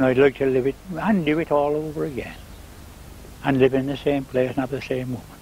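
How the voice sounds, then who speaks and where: A man's fairly quick speech broken by long, frequent pauses, with noticeable background noise. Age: 70s. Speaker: gardener and beekeeper. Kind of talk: interview.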